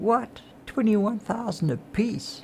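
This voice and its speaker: A man mumbles as he speaks. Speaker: gaming streamer. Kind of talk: casual chat. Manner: mumbling.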